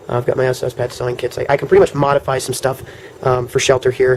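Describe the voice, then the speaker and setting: Against noticeable background noise, a man talks very fast in a monotone, flat delivery at medium pitch. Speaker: survival gear vlogger. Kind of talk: show-and-tell tutorial. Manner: hesitant, many fillers.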